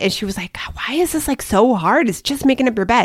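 A loud woman's voice with very wide swings in pitch. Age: 40s. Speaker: parenting podcast co-host. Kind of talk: casual chat.

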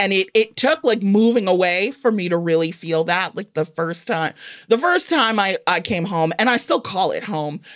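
The speaker is a woman with an unremarkable speaking voice and an American accent. At medium pitch and a moderate pace, her intonation is lively. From Evanston, Illinois. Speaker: humorist author. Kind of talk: casual interview. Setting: studio.

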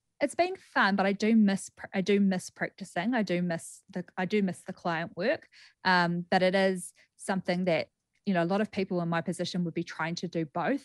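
With a New Zealand accent, a woman speaks at a moderate pace in a medium pitch, her intonation fairly even against a quiet background. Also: dry, close sound with no echo. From New Zealand, Greymouth. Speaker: clinical psychologist and author. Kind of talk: radio interview. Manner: halting, with repetitions.

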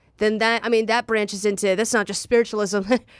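A very clean recording with a silent background of a woman speaking at a medium pitch. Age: 20s. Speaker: podcast co-host and stand-up comedian. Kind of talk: casual chat. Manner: animated.

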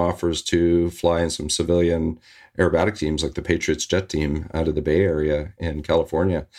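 In a western Canadian accent, a man with a very deep, low pitch talks at a fairly quick pace. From Canada, Victoria, British Columbia. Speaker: former air force demonstration pilot and filmmaker. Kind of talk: interview. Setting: video call.

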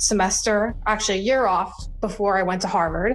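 A woman's voice at a moderate pace, with ordinary pitch variation and audible room echo. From US Northeast, New Jersey Shore. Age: 30s. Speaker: civil rights activist and nonprofit founder. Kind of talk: interview.

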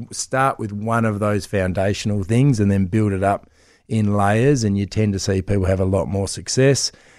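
A man's fairly low voice in an Australian accent, at a moderate pace with fairly even intonation, on a very clean recording with a silent background. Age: 40s. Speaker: celebrity personal trainer. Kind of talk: radio interview.

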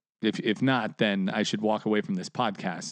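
Very wide pitch swings mark a man's speech over a quiet background. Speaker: comedian. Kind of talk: casual chat.

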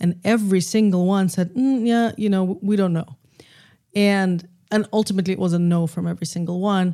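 Quick-paced, a woman with a dark, mellow tone speaks at a medium pitch with fairly even intonation. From Russia, Moscow. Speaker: film and podcast producer. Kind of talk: casual conversation. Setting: remote recording via software.

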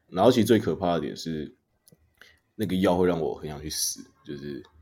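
In a Taiwanese accent, a man speaks with a very deep, low pitch and a dark, mellow tone. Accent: Taiwanese Mandarin. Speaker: podcast host. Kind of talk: casual chat.

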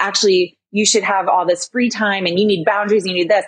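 A woman at medium pitch talks at a fairly quick pace in an ordinary speaking voice. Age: 30s. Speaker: interior designer and business owner. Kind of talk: casual interview.

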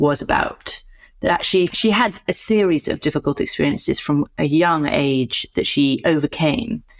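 A woman with a British accent and a very deep, low pitch talks at a moderate pace with lively intonation and very even loudness. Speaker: psychotherapist and co-host. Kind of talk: reflective discussion.

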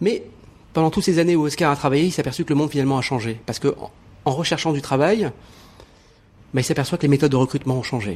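A man's voice with ordinary pitch variation. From Morocco. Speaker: TV journalist, writer and actor. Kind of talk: interview.

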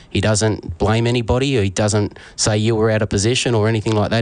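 In a flat monotone, a man talks at a fairly low pitch. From Australia. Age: 40s. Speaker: travelling sports fan. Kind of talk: radio interview.

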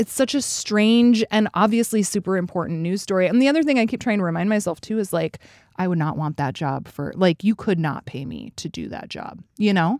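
With a plain, everyday voice and an American accent, a woman speaks at a fairly quick pace in a medium pitch, with lively intonation and hardly any pauses, on a very clean, dry, close recording with no echo and a silent background. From Alaska, US. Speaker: podcast host. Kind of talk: casual chat.

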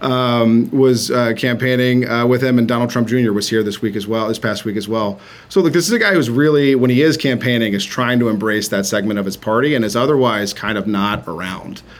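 A man at a fairly quick clip, medium-pitched, with ordinary pitch variation, hardly any pauses, and noticeable background noise. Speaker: campaign manager. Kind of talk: interview.

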